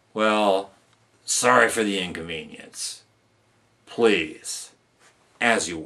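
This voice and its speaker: In a gruff, put-on character voice, the speaker goes at a very slow pace with long, frequent pauses. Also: man, fairly low pitch for a man. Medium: read story. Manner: gruff, barking.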